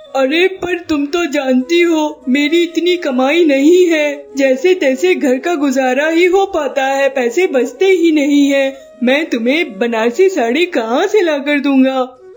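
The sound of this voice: Over clear background noise, a cartoonish character voice proceeds at a fairly slow pace with hardly any pauses.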